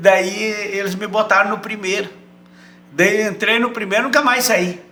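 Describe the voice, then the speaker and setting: Speaking in a raised, projected voice with a southern Brazilian accent, a man with a high pitch talks at a moderate pace with ordinary pitch variation, amid noticeable background noise and audible room echo. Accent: gaúcho Brazilian Portuguese. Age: 70s. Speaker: retired footballer. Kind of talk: casual interview chat.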